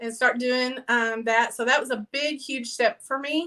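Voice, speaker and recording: A woman's raised, projected, high-pitched voice, bright and sharp in tone, in a strong Southern Texas accent. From Texas, near Fort Worth. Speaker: mobile paint party business owner. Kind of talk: interview. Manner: casual, with many fillers.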